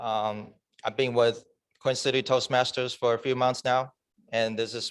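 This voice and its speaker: Speaking at a moderate pace with a non-native accent, a man uses a medium pitch and a monotone, flat intonation. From China. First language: Chinese. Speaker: club member giving a speech. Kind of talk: prepared speech. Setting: club meeting in person, also on Zoom.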